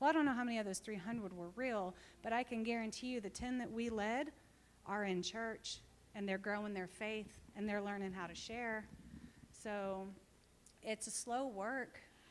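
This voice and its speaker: An ordinary speaking voice in an American accent, its pitch varying in an ordinary way. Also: woman, fairly high pitch for a woman, moderate pace. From Texas. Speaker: missionary. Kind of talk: church talk with Q&A.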